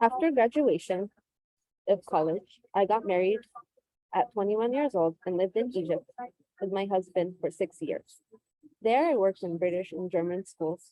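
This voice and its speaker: A woman with a Californian accent speaks at a moderate pace in a dark, mellow tone, her medium pitch varying an ordinary amount. The sound is dry and close, with no echo. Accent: Californian American English. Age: 20s. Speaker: teacher. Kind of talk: personal testimony.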